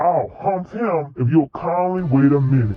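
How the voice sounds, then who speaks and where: Putting on a character voice, a man speaks at a moderate pace with a fairly high pitch and lively intonation. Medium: read story. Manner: stern, lecturing.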